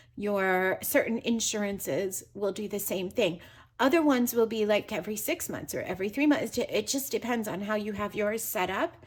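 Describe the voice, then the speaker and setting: Speaking in a normal speaking voice at a moderate pace, a woman uses a fairly high pitch with ordinary pitch variation over a quiet background. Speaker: personal finance youtuber. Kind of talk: tutorial.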